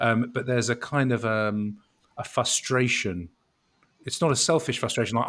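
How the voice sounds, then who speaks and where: Moderately paced, a man talks at a medium pitch. His pitch variation is ordinary. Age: 50s. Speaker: law firm chief brand officer and jazz radio host. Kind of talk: interview conversation. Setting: video call. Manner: energetic.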